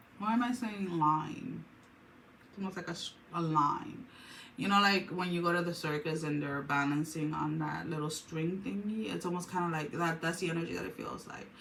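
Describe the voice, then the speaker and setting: A woman's fairly low-pitched voice with ordinary pitch variation and audible room echo. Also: moderate pace. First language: not English. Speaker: tarot reader. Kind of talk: tarot reading monologue. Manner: hesitant, many fillers and restarts.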